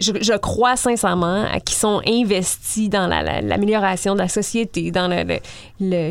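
This woman has an unremarkable speaking voice at a medium pitch. Her intonation stays fairly even. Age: 30s. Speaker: author. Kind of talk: casual interview.

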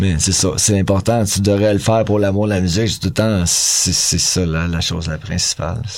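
A man's fairly low pitch and fairly even intonation, with hardly any pauses and noticeable background noise. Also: moderate pace. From Quebec, North Shore of Montreal. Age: 40s. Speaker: punk rock musician. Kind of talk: casual chat.

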